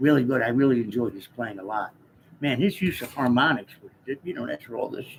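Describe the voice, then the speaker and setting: With an American accent, a man talks at a fairly quick pace in a relaxed tone and a medium pitch, his loudness swinging widely over noticeable background noise. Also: ordinary pitch variation. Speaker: jazz guitar teacher. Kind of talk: casual live-stream chat answering viewers. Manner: relaxed, hesitant with fillers.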